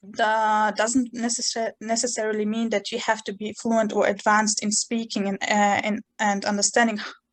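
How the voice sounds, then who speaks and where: A woman with a Chechen accent talks at a moderate pace with hardly any pauses, her fairly high pitch held in monotone, flat intonation. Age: 20s. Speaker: university student. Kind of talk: interview. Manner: halting.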